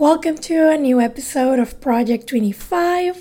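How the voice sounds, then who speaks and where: With a Mexican accent, a woman speaks high-pitched at a fairly slow pace, her tone dark and mellow and her intonation lively. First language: Spanish. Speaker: podcast host. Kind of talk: interview. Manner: giggly, laughs often.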